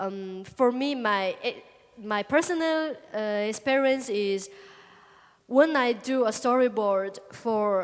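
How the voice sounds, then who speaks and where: In a Chinese accent, a woman speaks at a high pitch and a very slow pace, with ordinary pitch variation and long, frequent pauses. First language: Chinese (speaking Spanish). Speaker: comic artist. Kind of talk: public talk Q&A. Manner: halting.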